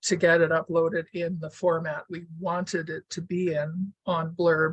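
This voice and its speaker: Somewhat breathy and fairly low, a woman's voice moves at a fairly slow pace with monotone, flat intonation, the sound dry and close with no echo. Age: 70s. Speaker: weaver and author. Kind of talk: casual talk to an online audience.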